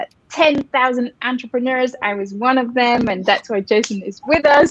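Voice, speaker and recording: A high-pitched woman with a French accent at a fairly slow pace. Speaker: co-founder and host of a coaching webinar. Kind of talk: live webinar introduction.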